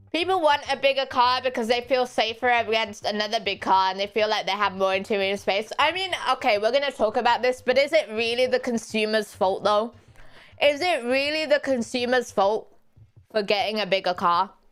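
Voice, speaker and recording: Noticeable background noise runs under this woman's voice. She speaks at a fairly quick pace with a fairly high pitch and ordinary pitch variation. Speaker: vtuber streamer. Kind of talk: casual chat.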